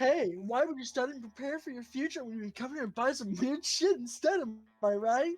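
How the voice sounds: A woman does a put-on character voice, high in pitch and at a fairly quick pace.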